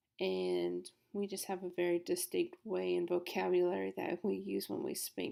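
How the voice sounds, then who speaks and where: A woman with a south Louisiana accent at a moderate pace, on a very clean recording with a silent background. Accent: south Louisiana Southern US. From south Louisiana, Baton Rouge. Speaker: student. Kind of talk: class presentation.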